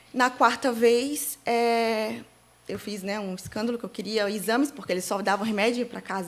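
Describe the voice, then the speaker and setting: Fairly even intonation at a moderate pace, in a very clean recording with a silent background. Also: woman. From Santa Catarina, Brazil (Itajaí/Navegantes). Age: 30s. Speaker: digital influencer, bereaved mother. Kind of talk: interview testimony. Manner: halting, many fillers.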